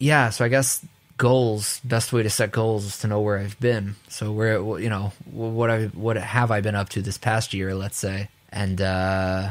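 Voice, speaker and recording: Here a man speaks with a New York accent. His pitch is fairly low and his pace moderate. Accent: New York American. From US, New York. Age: 20s. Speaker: audio engineer. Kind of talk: casual chat.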